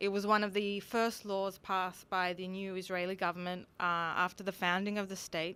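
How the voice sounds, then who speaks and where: A woman is speaking. She has an Australian accent. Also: very clean recording, silent background. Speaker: conference speaker. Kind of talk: lecture.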